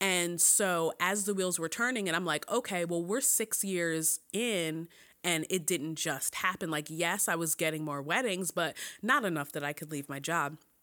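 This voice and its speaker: A woman with an American accent, fairly low in pitch with ordinary variation, bright and sharp in tone, at a moderate pace on a very clean recording with a silent background. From Philadelphia, US. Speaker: bridal hair and makeup artist. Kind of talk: casual chat.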